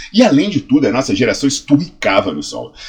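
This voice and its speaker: Animated in tone, a man speaks at a very fast pace. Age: 40s. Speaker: health science professor and fitness educator. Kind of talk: educational video monologue.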